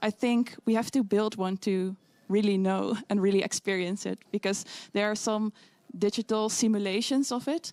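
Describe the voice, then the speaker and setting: A woman with a Dutch accent, medium pitch and fairly even intonation, at a moderate pace, in a dry, close sound with no echo. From Netherlands. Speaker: physics student. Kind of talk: interview answer. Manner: hesitant.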